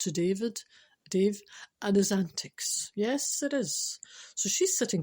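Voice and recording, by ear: The setting behind the voice is quiet. A natural voice reads out loud.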